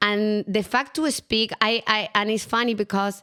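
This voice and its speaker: In a very clean recording with a silent background, a woman with a Latin American accent speaks at a medium pitch with fairly even intonation. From Chile. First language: Spanish. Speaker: entrepreneur. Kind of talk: interview.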